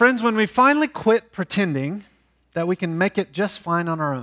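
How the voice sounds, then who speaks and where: The voice makes very wide pitch swings, with a dry, close sound and no echo. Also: man, very clean recording, silent background. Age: 40s. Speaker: pastor. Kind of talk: sermon. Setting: church. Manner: seated while preaching.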